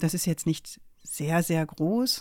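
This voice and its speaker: Speaking at a very slow pace, a woman has a fairly low pitch and a dark, mellow tone on a very clean recording with a silent background. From Germany, Münsterland (Rheine). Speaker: law professor. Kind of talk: interview.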